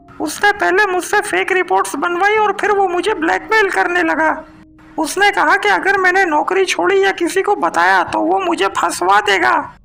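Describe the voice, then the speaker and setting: A cartoonish character voice from a woman, extremely high in pitch. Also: moderate pace. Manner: defiant, hot-tempered.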